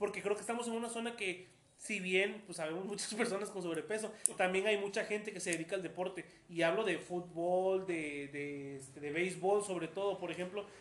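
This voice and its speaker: A man's high pitch at a moderate pace, with ordinary pitch variation, over noticeable background noise. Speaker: podcast host. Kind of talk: casual interview.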